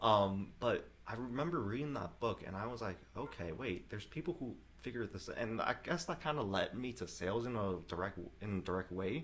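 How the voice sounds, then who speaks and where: Fairly quick delivery with lively intonation and a slight Vietnamese accent. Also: man, medium pitch for a man. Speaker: real estate investor and entrepreneur. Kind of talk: casual chat. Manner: casual, many fillers.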